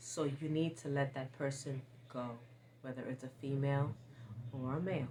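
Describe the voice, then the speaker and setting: A woman speaks at a moderate pace with a very deep, low pitch and fairly even intonation, leaving long, frequent pauses over noticeable background noise. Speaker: lifestyle vlogger. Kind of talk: advice monologue. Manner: sometimes stumbling over words.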